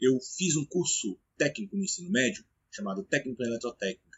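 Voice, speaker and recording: Lively intonation in a somewhat breathy, fairly high male voice. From Brazil, Brasília. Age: 30s. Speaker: police officer and study-tips YouTuber. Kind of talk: casual personal story to camera. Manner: hesitant, many fillers.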